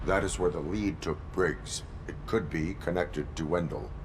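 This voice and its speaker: Loud background noise sits under a put-on character voice. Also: man, very deep, low pitch for a man, moderate pace. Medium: video game. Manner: terse, flat, robotic.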